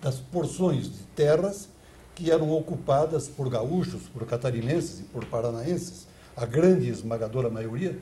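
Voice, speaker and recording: In a room with audible echo, a man of medium pitch speaks fairly slowly with a dark, mellow tone, vocal fry and lively intonation. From Santa Catarina, southern Brazil. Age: 80s+. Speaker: former mayor and politician, ex-radio broadcaster. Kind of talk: interview. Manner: formal; halting.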